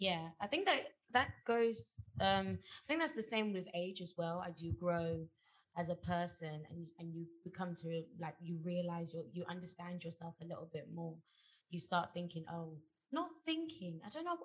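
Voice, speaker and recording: Somewhat breathy, a woman speaks at a moderate pace and a fairly low pitch. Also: ordinary pitch variation. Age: 20s. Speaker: podcast co-host. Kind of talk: casual chat.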